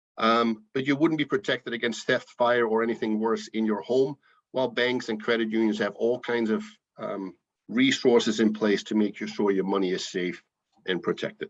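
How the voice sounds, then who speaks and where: Against a quiet background, a man with a Dutch accent talks at a moderate pace and medium pitch with ordinary pitch variation. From Netherlands. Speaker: financial educator. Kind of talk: presentation. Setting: video call.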